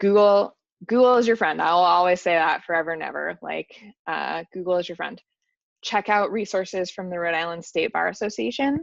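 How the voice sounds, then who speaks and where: A woman with a plain, everyday voice, medium pitch and ordinary pitch variation talks at a fairly quick pace over a quiet background. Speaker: workshop presenter. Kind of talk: lecture.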